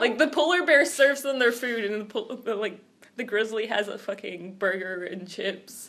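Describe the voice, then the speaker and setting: An animated woman with an American accent speaks at a moderate pace with a fairly high pitch, lively intonation and big swings in loudness, over noticeable background noise. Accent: American accent despite Scottish upbringing. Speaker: podcast co-host. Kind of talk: casual chat. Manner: animated storytelling.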